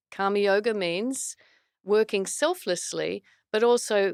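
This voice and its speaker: Fairly even intonation and a fairly slow pace mark a voice with an Australian accent, dry and close with no echo on a very clean recording with a silent background. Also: woman. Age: 60s. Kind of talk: podcast interview. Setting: studio.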